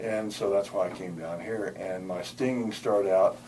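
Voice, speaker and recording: Noticeable noise sits behind the voice. The man speaks at a moderate pace. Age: 70s. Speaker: patient, retired chemist. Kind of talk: testimonial interview. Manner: halting, many repetitions.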